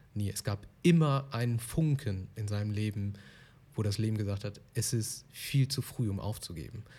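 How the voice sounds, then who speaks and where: A man speaks at a moderate pace in a fairly low voice with a dark, mellow tone and a somewhat breathy quality. His pitch varies in an ordinary way, and the recording is very clean with a silent background. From Germany. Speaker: podcast host. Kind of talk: interview.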